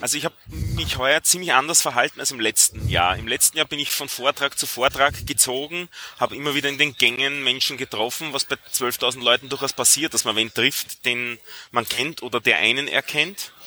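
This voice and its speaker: Over noticeable background noise, a man talks at a moderate pace with ordinary pitch variation, the sound dry and close with no echo. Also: medium pitch for a man. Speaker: software developer. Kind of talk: casual chat.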